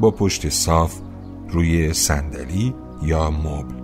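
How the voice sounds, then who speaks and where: Over music in the background, a man with a very deep, low pitch speaks at a very slow pace with ordinary pitch variation. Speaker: meditation guide. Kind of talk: guided meditation. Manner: calm.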